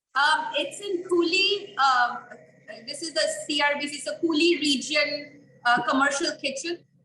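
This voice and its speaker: A woman with a high-pitched, bright, sharp voice projects it loudly, speaking fairly slowly with fairly even intonation. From India. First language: not English. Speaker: small business owner, meal kit maker. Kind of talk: interview. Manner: halting, many fillers.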